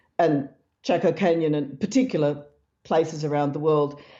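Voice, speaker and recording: With an Australian accent, a woman is talking. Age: old. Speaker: researcher and author. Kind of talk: interview.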